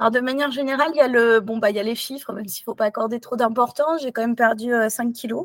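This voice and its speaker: This woman's high-pitched voice holds a fairly even intonation. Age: 40s. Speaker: doctor. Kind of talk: interview testimony. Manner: hesitant.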